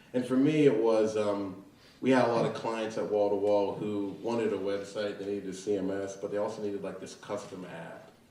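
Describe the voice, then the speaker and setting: Speaking fast-ish with fairly even intonation and an American accent, a man's loudness swings widely, with noticeable background noise and audible room echo. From southwestern Pennsylvania (Fayette County). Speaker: tech startup founder. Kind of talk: interview. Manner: casual, filler-heavy.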